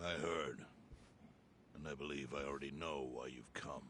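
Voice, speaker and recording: Over clear background noise, a raspy, put-on character voice delivers monotone, flat intonation at a moderate pace. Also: man, very deep, low pitch for a man. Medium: video game. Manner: calm, measured.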